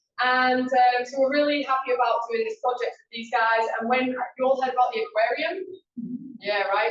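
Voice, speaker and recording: A woman's high-pitched voice in a strong Yorkshire accent, at a fairly quick pace. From Yorkshire, northern England. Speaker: conservation coordinator. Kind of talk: presentation to a meeting. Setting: meeting room with audience. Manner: loud; casual, with fillers.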